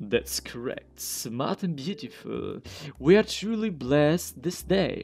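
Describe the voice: A man puts on a character voice, fairly high-pitched with vocal fry and a slightly mellow tone. He talks at a slow pace with big pitch swings.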